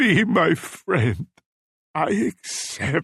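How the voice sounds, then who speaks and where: A man's soft-spoken, put-on character voice, high in pitch with very wide pitch swings, in a dry, close sound with no echo. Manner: murmuring, submissive.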